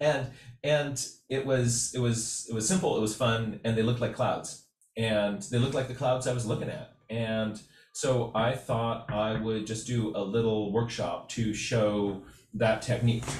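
Audible room echo around a man's fairly slow speech. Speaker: art instructor. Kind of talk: casual workshop talk. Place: home room. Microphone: webcam.

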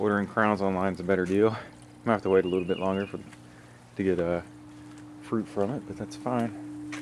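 A man speaks at a moderate pace with noticeable background noise. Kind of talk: casual vlog chat. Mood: relaxed, upbeat. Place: garden. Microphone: phone near.

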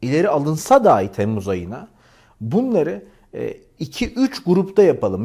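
On a very clean recording with a silent background, a man speaks at a moderate pace with a fairly high pitch. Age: 40s. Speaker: YouTuber. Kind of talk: appeal to viewers.

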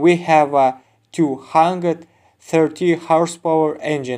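With a non-native accent, a man speaks at a fairly high pitch in a fairly even intonation. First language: not English. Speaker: used auto parts seller. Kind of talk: sales pitch. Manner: informative, product-demo style.

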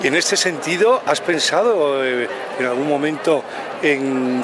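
A man speaks at a moderate pace with noticeable background noise, the sound dry and without echo. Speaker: interviewer. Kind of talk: interview question. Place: street.

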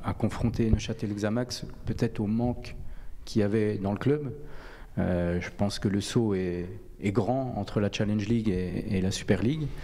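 At a moderate pace, a man talks with a fairly low pitch and a dark, mellow tone. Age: 30s. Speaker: football coach. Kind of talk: radio interview. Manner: halting. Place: studio. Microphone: handheld.

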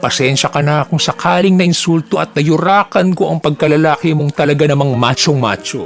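Over music in the background, a man talks at a fairly quick pace with a fairly high pitch and ordinary variation. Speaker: vlogger driver recounting road rage. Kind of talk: angry rant. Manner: indignant, sarcastic, rapid-fire; pointed rhetorical questions, mocking.

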